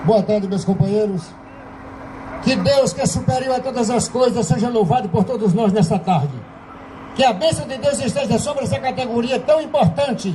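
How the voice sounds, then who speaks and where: Noticeable background noise sits behind a man's voice. He speaks at a high pitch with lively intonation. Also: moderate pace. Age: 70s. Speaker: police union member speaking at assembly. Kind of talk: assembly speech. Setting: union assembly. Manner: fiery, impassioned.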